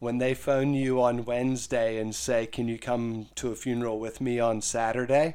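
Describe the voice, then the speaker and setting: In a very clean recording with a silent background, a man with an American accent speaks at medium pitch in a dark, mellow tone, monotone and flat, with hardly any pauses. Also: moderate pace. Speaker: funeral director and podcast host. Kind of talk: casual chat.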